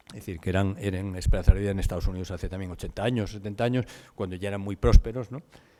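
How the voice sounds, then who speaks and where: A man with a fairly low pitch and a dark, mellow tone talks at a very fast pace, with big swings in loudness. The recording is very clean, with a silent background. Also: ordinary pitch variation. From Spain. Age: 60s. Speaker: conference speaker on demographics. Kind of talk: conference talk. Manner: fast, hurrying to finish.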